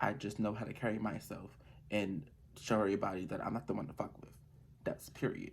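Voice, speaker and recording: A man speaks quietly at a very fast pace in a fairly low voice. His pitch varies in an ordinary way, broken by long, frequent pauses. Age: young. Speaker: vlogger. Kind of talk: casual monologue vlog. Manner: quiet, calm.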